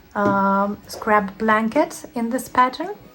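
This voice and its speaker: A woman with a Lithuanian accent speaks at a fairly high pitch and a fairly slow pace. Noticeable background noise runs under her voice. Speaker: crochet teacher. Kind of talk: tutorial. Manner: hesitant, many fillers.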